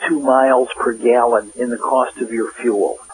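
There is noticeable background noise. Over it, a man talks at a fairly slow pace. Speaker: industry consultant. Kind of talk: advice interview.

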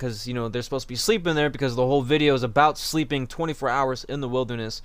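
With a quiet background and a dry sound with no echo, a man speaks at a very fast pace. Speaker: reaction streamer. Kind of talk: casual commentary. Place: home room.

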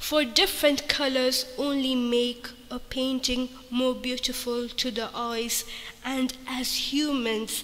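A high-pitched woman speaks at a very slow pace in a monotone, flat intonation. Noticeable background noise sits behind her. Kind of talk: spoken word poetry.

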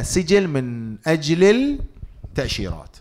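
A man speaks loudly at a very slow pace. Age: middle-aged. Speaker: financial lecturer. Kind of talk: public lecture. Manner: interactive, conversational. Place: hall. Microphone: studio mic.

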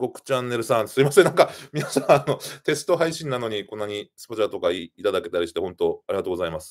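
A very fast-paced male voice with vocal fry and very wide pitch swings, over a quiet background. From Japan, Yamagata (Yonezawa); Yamagata, Japan. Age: 40s. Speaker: YouTuber, live streamer. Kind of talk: casual live stream chat reading comments. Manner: hesitant, many fillers and laughs. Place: home room.

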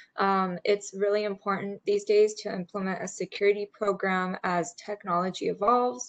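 Moderate pace from a woman. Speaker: webinar presenter. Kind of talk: webinar presentation. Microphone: video call.

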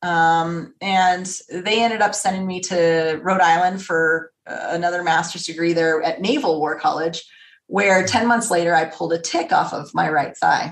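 A woman with an American accent speaks at a moderate pace in a plain, everyday voice. Her pitch is fairly low and her intonation fairly even. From Las Vegas, Nevada, US. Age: 40s. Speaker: retired air force fighter pilot. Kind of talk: interview.

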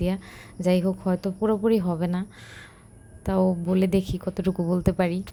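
A woman speaks with a dark, mellow tone. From Bangladesh, Narayanganj. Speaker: village vlogger. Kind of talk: vlog voiceover narration. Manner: casual, unscripted.

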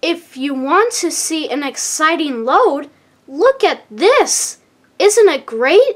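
A woman's high-pitched, put-on character voice with big pitch swings at a slow pace

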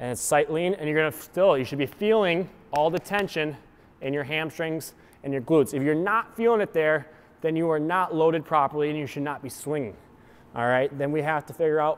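Fairly quick speech from a man, ordinary pitch variation throughout. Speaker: fitness coach. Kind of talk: tutorial. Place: gym.

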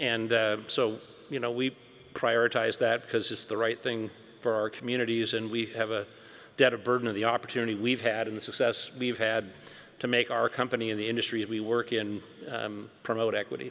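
A man with an American accent speaks at a fairly quick pace. His intonation is monotone and flat. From US Pacific Northwest (Seattle). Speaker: company CEO; panelist. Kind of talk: onstage interview. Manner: hesitant with fillers. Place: hall. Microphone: podium.

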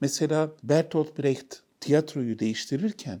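His dark, mellow tone carries vocal fry as the man speaks at a fairly slow pace and a fairly high pitch. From Istanbul, Turkey. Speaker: novelist and academic. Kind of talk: interview.

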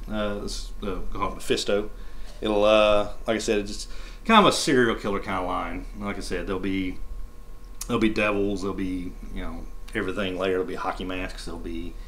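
At a fairly quick pace, a man speaks in a low pitch with fairly even intonation.

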